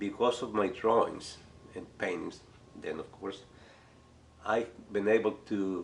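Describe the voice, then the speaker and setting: A man talks at a moderate pace with a Spanish accent. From Chile. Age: 60s. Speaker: art teacher. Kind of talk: casual talk to camera.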